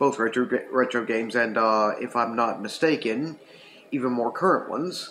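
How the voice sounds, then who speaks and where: A man speaks at a moderate pace. Light background noise sits behind him. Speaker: retro gaming channel host. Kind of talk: casual review vlog chat. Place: home room. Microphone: webcam.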